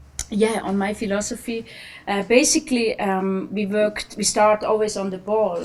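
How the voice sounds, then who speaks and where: A woman talks at a moderate pace with a fairly high pitch and fairly even intonation. Noticeable background noise runs underneath. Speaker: national women's football team coach. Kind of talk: press conference. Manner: halting, many fillers.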